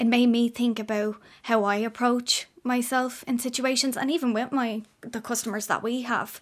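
A woman speaks in an Irish accent with a high pitch and a flat, monotone delivery. Her pace is moderate, with hardly any pauses. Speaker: care company manager. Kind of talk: radio interview. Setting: studio.

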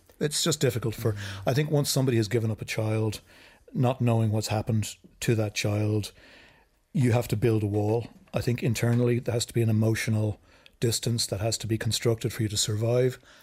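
A man with an Irish accent and a somewhat breathy voice of medium pitch speaks at a fairly quick pace with fairly even intonation, on a very clean recording with a silent background. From Ireland. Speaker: filmmaker. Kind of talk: casual chat.

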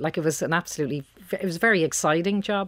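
Someone talks at a very fast pace in a Dublin accent. The recording is very clean, with a silent background. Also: woman. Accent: Dublin Irish. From Dublin, Ireland (Beaumont). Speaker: company founder and CEO. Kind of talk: radio interview.

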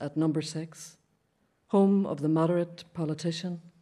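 Her fairly low, dark, mellow voice moves at a moderate pace. The woman keeps her intonation fairly even against a quiet background. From Derry, Northern Ireland. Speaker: poet. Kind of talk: reading aloud poetry.

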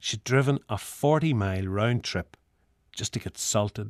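Speaking at a fairly slow pace with a Northern Irish accent, a man with a fairly low pitch shows ordinary pitch variation in a very clean, silent-background recording that sounds dry and close with no echo. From Northern Ireland. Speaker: essayist. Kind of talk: scripted narration.

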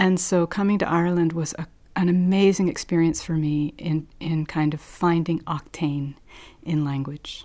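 A woman speaks at a moderate pace in a fairly low, monotone voice with flat intonation, recorded very cleanly against a silent background. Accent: New Jersey. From US, New Jersey. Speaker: poet and festival curator. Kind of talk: radio interview. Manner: halting, many fillers.

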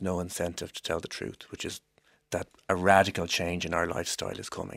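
With an Irish accent, a man talks at a fairly quick pace on a very clean recording with a silent background. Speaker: law professor. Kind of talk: panel discussion.

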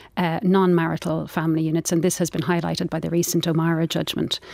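A woman speaks with an Irish accent and a fairly low pitch. The recording is very clean, with a silent background. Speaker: writer and former barrister. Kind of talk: debate. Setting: studio.

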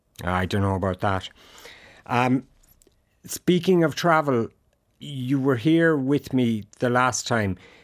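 An Irish-accented man speaks very slowly at a medium pitch, with long, frequent pauses. His intonation is lively, and the recording is very clean with a silent background. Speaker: radio host. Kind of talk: interview. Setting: radio studio.

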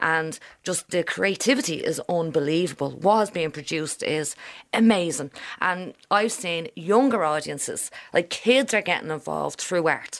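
With a Dublin accent, a woman speaks at a moderate pace, her fairly low pitch carried by lively intonation. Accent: Irish, Dublin. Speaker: historian. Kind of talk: interview. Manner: animated.

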